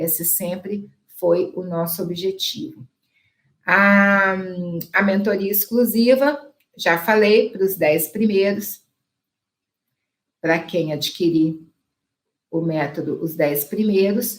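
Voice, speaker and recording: A woman of medium pitch and ordinary pitch variation at a very slow pace, with long, frequent pauses and audible room echo. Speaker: dentist and laser lecturer. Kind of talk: online lecture with sales pitch.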